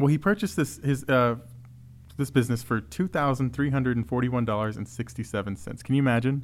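A man with a Texan accent, medium pitch and lively intonation at a very fast pace, on a very clean recording with a silent background. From Texas. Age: 30s. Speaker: museum podcast host. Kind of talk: casual chat.

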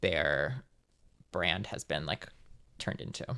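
Speaking at a fairly slow pace in a Californian accent, a man has a bright, sharp tone on a very clean recording with a silent background. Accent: General Californian American. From US West Coast, Los Angeles suburbs. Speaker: writer and filmmaker. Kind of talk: casual chat.

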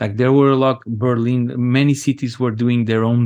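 With a Portuguese accent, a man speaks at a fairly slow pace and with fairly even intonation over a quiet background. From Angola, raised in Portugal. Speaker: DJ and music producer. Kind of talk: interview. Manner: halting, many repetitions.

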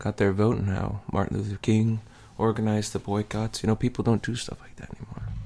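A man speaks very fast in a dark, mellow tone at a fairly low pitch. His intonation is monotone and flat, while his loudness swings widely. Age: 20s. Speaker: podcast co-host. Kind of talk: casual chat. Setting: studio.

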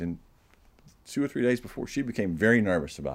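Vocal fry runs through a man's speech, and his intonation is lively. The recording is very clean, with a silent background. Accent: American. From US South, Georgia. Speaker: novelist and publisher. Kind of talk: interview. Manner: halting.

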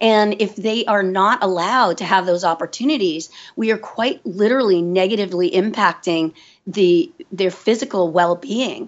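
This is a woman in a normal speaking voice. Her pitch varies in an ordinary way. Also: medium pitch for a woman, moderate pace. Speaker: forest kindergarten founder and educator. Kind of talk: interview.

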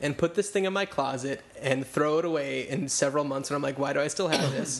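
A fairly quick American-accented man with a normal speaking voice and ordinary pitch variation. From New Jersey. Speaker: podcast host. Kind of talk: casual chat.

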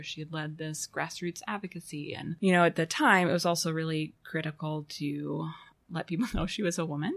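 Very deep and low for a woman, her voice comes through on a very clean recording with a silent background. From Arkansas (Fayetteville). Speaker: design professor. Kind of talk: interview conversation. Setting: university office.

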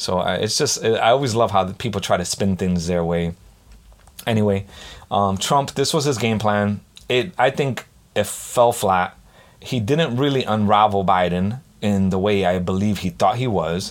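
In an animated tone, a man with a fairly low pitch speaks at a moderate pace with ordinary pitch variation. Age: 40s. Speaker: solo podcast host. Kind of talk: casual monologue. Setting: home recording setup.

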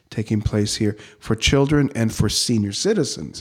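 This man has a plain, everyday voice at a medium pitch, speaking at a fairly slow pace with ordinary pitch variation on a very clean recording with a silent background. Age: 60s. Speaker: Lutheran pastor. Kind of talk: interview conversation.

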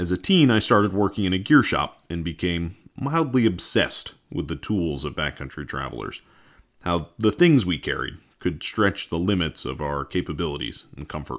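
With an American accent, a man speaks at a moderate pace in a very deep, low voice with vocal fry. His pitch swings very widely. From US New England, rural Massachusetts. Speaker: co-host, emergency nurse and farmer. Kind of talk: scripted narration.

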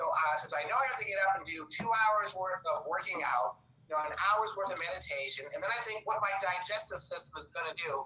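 Over noticeable background noise, a man with a high pitch speaks in a raised, projected voice at a fairly quick pace with lively intonation. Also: hardly any pauses. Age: 60s. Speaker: actor, filmmaker and substitute teacher. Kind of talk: casual chat.

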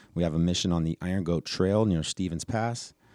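With an American accent and a very deep, low pitch, a man speaks at a moderate pace in a dark, mellow tone and fairly even intonation, recorded very cleanly against a silent background. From Reno, Nevada. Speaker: forest service staff. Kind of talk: interview.

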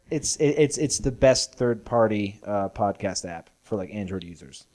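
A man's fairly low, dark, mellow voice in an American accent, at a moderate pace, with lively intonation and big swings in loudness. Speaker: podcast co-host. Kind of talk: casual comedic chat.

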